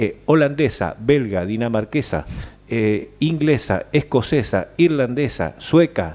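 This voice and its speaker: The man's pitch swings very widely. He speaks at a very slow pace. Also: medium pitch for a man. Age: 60s. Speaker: senator. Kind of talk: interview. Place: studio. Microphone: headset.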